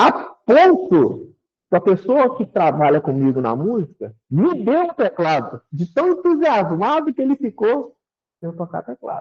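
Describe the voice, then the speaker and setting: This man talks at a fairly slow pace in a high voice, his pitch swinging very widely between long, frequent pauses. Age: 60s. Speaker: spiritist lecturer. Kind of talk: spiritist talk. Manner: conversational, animated.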